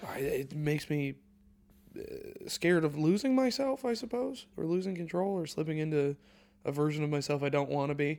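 A normal speaking voice moves at a fairly quick pace. Its intonation is lively. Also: man, fairly high pitch for a man. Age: 20s. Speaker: comedian. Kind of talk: casual chat.

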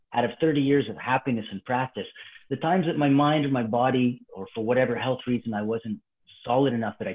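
A man with a plain, everyday voice and a Canadian accent, medium in pitch with ordinary pitch variation, at a fairly quick pace. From Calgary, Alberta, Canada. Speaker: martial arts instructor. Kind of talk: casual chat.

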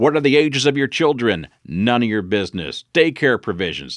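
Speaking with an American accent, a man uses very wide pitch swings and vocal fry. The recording is very clean, with a silent background. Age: 50s. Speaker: leadership speaker and trainer. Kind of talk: solo podcast talk. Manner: direct, blunt.

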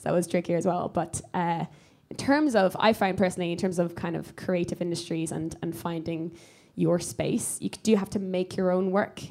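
With an Irish accent, a woman speaks at a moderate pace in a fairly low voice with a dark, mellow tone and fairly even intonation. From Ireland. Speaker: comedian. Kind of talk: live podcast recording, casual chat. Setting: stage with audience.

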